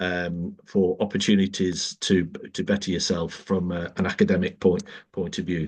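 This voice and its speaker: With a Manchester accent, the speaker talks at a moderate pace in a monotone, flat intonation against a quiet background. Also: man, very deep, low pitch for a man. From northern England, South Manchester. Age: 60s. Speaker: politician. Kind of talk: podcast interview. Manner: halting, many fillers.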